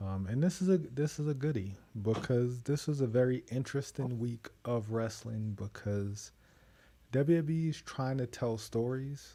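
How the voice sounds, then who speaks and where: Soft-spoken and somewhat breathy, a man with a medium pitch and a dark, mellow tone speaks at a fairly slow pace in a very clean recording with a silent background. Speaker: wrestling podcast host. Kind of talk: casual chat.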